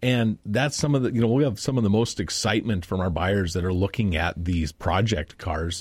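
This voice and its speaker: A man talks at a moderate pace with hardly any pauses, his fairly low voice somewhat breathy and his intonation lively. His loudness stays very even, and the recording is very clean with a silent background. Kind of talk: radio interview. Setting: studio.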